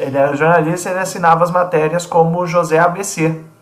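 A man speaks with a high pitch at a moderate pace. Noticeable background noise runs underneath. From Brazil, São Paulo state interior. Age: 30s. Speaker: church worship musician. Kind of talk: casual chat. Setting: studio.

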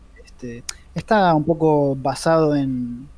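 Speaking in a Rioplatense accent, a man has a dark, mellow tone, a fairly high pitch and fairly even intonation. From Argentina. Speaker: comics podcast co-host and comic artist. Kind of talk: casual chat.

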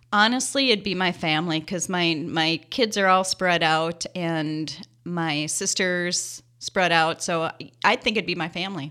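A woman with an Upper Midwest accent speaks in a bright, sharp tone at a fairly low pitch with ordinary pitch variation. Her pace is fairly slow with hardly any pauses, in a very clean recording over a silent background. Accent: Upper Midwest American. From Minnesota. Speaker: professor. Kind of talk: interview.

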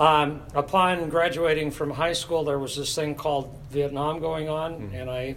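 A man with an American accent speaks at a moderate pace and a fairly high pitch with fairly even intonation, amid audible room echo and noticeable background noise. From US Pacific Northwest (Tacoma, Washington). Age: 70s. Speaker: church choir director. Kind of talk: casual interview.

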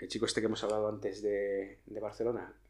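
A man talks in this clip. The room adds an audible echo. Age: 40s. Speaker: police officer and nonverbal communication educator. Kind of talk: interview.

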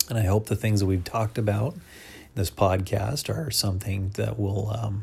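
Speaking with an American accent, the voice has a dark, mellow tone and sounds somewhat breathy. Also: man. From US. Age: 40s. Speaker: podcaster. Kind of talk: solo podcast monologue. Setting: at home, lying down. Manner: halting, many fillers.

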